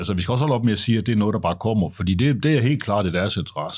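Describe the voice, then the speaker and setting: The recording is very clean with a silent background as a man speaks in a fairly low pitch with ordinary pitch variation. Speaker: journalist and tech critic. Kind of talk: casual interview.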